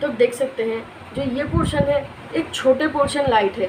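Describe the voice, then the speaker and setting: The speaker has a Bengali accent and ordinary pitch variation. Noticeable background noise is present. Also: woman. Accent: Bengali-accented Hindi. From West Bengal, India. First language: Bengali (speaking Hindi). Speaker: art teacher on video channel. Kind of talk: tutorial. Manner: casual, conversational.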